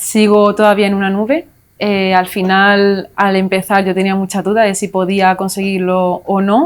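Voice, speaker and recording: Speaking fairly slowly at a medium pitch, a woman keeps a flat, monotone delivery in a very clean recording with a silent background. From Spain, Málaga (Andalusia). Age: 20s. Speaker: language teacher, successful exam candidate. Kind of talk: interview. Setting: studio.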